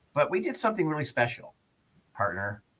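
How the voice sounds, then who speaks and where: Bright and sharp in tone, a man talks with an American accent. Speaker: radio host. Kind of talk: casual chat.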